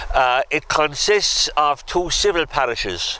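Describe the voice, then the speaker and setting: A man with a Kerry accent talks over noticeable background noise. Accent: Irish, Kerry. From Ireland, north Kerry. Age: 70s. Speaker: local historian tour guide. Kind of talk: guided walking tour talk. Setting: outdoors.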